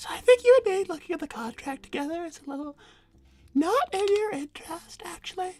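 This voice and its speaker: Over background music, a woman puts on a squeaky character voice at an extremely high pitch, talking fairly quickly with very wide pitch swings and big swings in loudness. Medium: game stream. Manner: haughty, confrontational.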